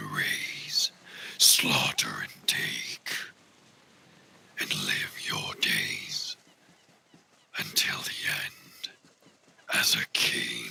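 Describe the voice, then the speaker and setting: A man's put-on character voice, gravelly and raspy, extremely high in pitch, at a very slow pace. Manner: gruff, dramatic.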